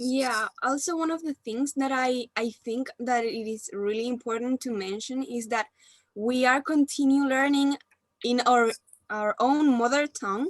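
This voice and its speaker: High-pitched female voice with a Spanish accent, fairly slow pace and ordinary pitch variation, dry and close with no echo, music in the background. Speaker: university student. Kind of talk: group discussion.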